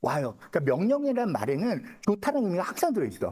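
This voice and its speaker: A man's very fast speech, high-pitched for a man, with very wide pitch swings and a dark, mellow tone. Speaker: saju fortune-telling lecturer. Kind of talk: lecture. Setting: seminar room with live audience. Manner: casual, conversational.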